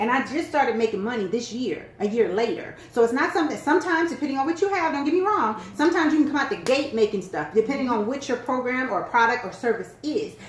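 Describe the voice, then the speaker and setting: In a room with audible echo and noticeable background noise, a woman with a high pitch speaks very fast in an animated tone, with very wide pitch swings and hardly any pauses. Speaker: business and sales coach. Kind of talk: casual chat.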